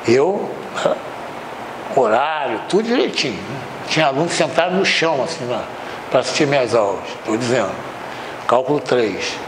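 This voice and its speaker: Over noticeable background noise and audible room echo, a man with a fairly high pitch talks at a moderate pace with lively intonation. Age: 80s+. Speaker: university math/engineering professor. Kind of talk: anecdote within lecture; lecture. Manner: conversational, filler-heavy.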